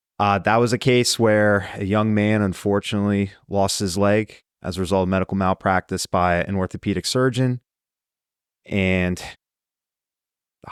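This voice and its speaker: Recorded very cleanly against a silent background, with a dry, close sound and no echo, a man speaks in an ordinary speaking voice with fairly low pitch and fairly even intonation. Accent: American. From US, central Pennsylvania. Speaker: trial lawyer. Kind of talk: podcast interview.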